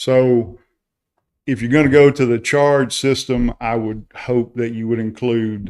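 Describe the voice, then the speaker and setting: With a Carolina accent, a man talks at a fairly slow pace and with fairly even intonation. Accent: local Carolina. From South Carolina. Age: retired. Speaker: public commenter at town council meeting. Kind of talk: public comment. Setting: town council meeting.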